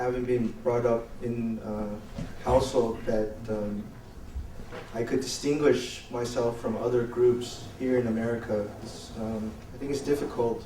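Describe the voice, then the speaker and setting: Speaking fairly slowly at a medium pitch, this man is heard through noticeable background noise and audible room echo. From United States, Taiwanese family. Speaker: election observation tour participant. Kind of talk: panel discussion. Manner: halting.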